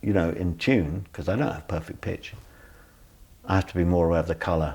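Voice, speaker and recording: A man with a British accent speaks with a very deep, low pitch and vocal fry. His pitch varies in an ordinary way. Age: 60s. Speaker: singer, pianist and music educator. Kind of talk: interview. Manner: animated.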